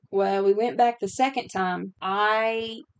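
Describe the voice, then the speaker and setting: A woman with an unremarkable speaking voice talks at a medium pitch and a fairly slow pace. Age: 30s. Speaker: podcast host. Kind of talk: casual chat.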